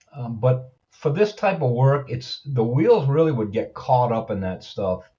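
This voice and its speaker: Somewhat breathy, a man with a medium pitch speaks at a fairly slow pace with lively intonation. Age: 70s. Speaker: video blogger. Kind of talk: product review. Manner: halting; casual.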